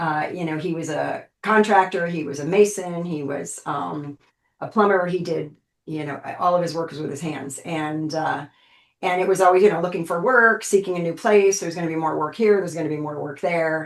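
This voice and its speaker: A woman with an ordinary speaking voice talks at a fairly quick pace and fairly low pitch, with ordinary pitch variation and big swings in loudness. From United States, moved all over. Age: 60s. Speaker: pain and aging specialist. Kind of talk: interview. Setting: podcast interview.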